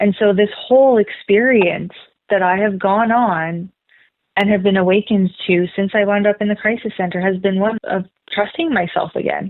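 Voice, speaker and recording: There's a woman here using a plain, everyday voice at medium pitch, with fairly even intonation and a moderate pace. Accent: Canadian. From Canada, Manitoba (Brandon). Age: 30s. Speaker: energy healer and spiritual mentor. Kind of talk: podcast interview.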